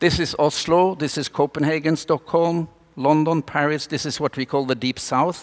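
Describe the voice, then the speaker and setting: A man with a Norwegian accent at a moderate pace. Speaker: doctor and speaker. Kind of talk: conference talk. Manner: animated.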